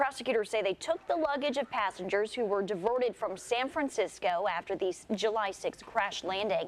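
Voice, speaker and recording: A woman's unremarkable speaking voice, fairly high in pitch, with lively intonation, a moderate pace and very even loudness. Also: hardly any pauses. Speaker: news anchor. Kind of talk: local TV morning news anchor read.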